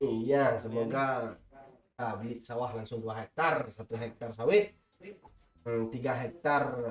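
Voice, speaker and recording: With music in the background, a man speaks very slowly at medium pitch with fairly even intonation. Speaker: game streamer. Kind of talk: live stream chat while gaming.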